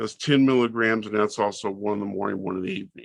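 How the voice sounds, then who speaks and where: A man with an American accent speaks in a bright, sharp tone. The sound is dry and close with no echo, and the background is quiet. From Southern California. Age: 60s. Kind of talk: interview.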